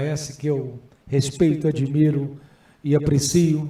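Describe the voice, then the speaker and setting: With audible room echo, a man speaks in a fairly high pitch, his tone dark, mellow and somewhat breathy, his intonation monotone and flat. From Brazil, Goiás (city of Goiás). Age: 60s. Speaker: senate candidate and businessman. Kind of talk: candidate hearing speech.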